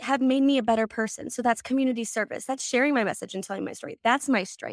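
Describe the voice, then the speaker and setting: In a very clean recording with a silent background, a woman speaks with an American accent. She has a normal speaking voice, fairly high in pitch, with ordinary pitch variation. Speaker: pageant titleholder and suicide prevention advocate. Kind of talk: interview.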